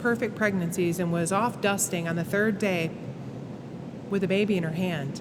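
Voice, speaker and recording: With an American accent, a woman talks at a moderate pace and medium pitch with ordinary pitch variation, over noticeable background noise and audible room echo. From western New York. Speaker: gym owner and CrossFit coach. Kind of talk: casual interview chat. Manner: animated.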